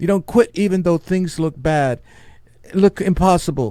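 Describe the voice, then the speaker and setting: With a New York accent, this man has a dark, mellow tone. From New York City. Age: 70s. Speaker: podcast host and Marine veteran. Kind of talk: personal testimony. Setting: studio.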